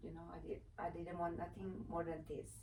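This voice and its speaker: Audible room echo is present. A woman with an Italian accent speaks at a fairly low pitch. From Italy, Vicenza. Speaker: former TV personality and advocate. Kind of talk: interview. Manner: halting, many fillers.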